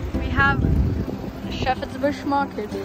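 Clear music plays in the background as a man speaks at a moderate pace in a dry sound with no echo. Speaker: cycling vlogger. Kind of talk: casual vlog chat. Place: street. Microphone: phone near.

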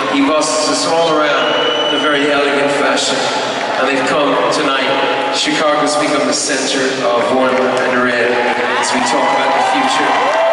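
A man at a moderate pace with long, frequent pauses, amid crowd noise and audible room echo. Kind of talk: speech to concert audience. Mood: earnest, grateful. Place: stage.

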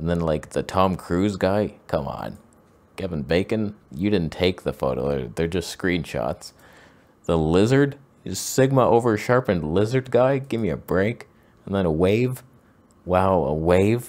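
A man's very deep, low voice with very wide pitch swings, at a fairly slow pace. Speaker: photography show host. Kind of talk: comedic commentary. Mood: mock-exasperated sarcastic. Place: home room. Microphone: studio mic.

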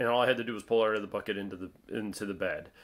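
A man is the speaker. Fairly even intonation runs through what he says. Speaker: hunter vlogger. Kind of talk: casual vlog chat. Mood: grateful, relaxed. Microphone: phone near.

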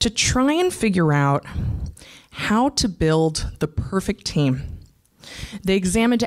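Against a quiet background, a woman talks at a fairly slow pace with very wide pitch swings. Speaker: conference speaker. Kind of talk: conference talk. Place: stage. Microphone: handheld.

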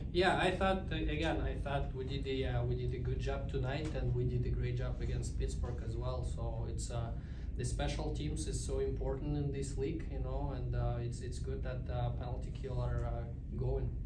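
A man speaks at a moderate pace with hardly any pauses over loud background noise. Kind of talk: interview answer. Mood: calm, content after win. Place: hall. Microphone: podium.

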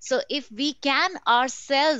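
A woman with an Indian accent sounds dry with no echo against a quiet background. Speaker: learning and development professional; panelist. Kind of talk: panel discussion. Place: home room. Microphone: video call.

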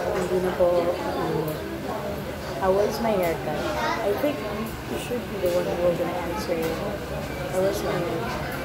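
Against crowd noise in the background, a woman speaks at a fairly slow pace with ordinary pitch variation. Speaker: vlogger. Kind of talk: casual vlog chat. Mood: relaxed, playful. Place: cafe. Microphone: phone near.

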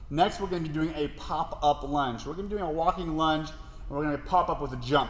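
A very fast man's voice with audible room echo. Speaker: fitness coach. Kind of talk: tutorial. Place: gym.

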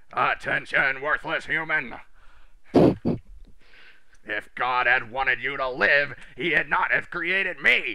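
A man puts on a character voice at a fairly slow pace. Light background noise can be heard. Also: fairly high pitch for a man. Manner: commanding, barking.

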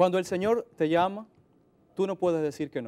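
Fairly quick and high-pitched, a man's voice carries a dark, mellow tone with ordinary pitch variation. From Dominican Republic. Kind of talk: interview. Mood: calm, friendly, smiling. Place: studio. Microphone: lapel.

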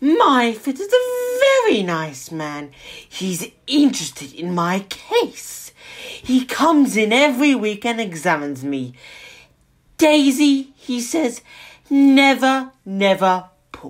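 A female-sounding voice, high-pitched, puts on a character voice at a fairly slow pace. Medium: read story. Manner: boastful, indignant.

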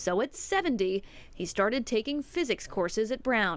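An ordinary speaking voice, a woman's, fairly high-pitched with lively intonation at a moderate pace. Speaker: TV news reporter. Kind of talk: TV news report narration.

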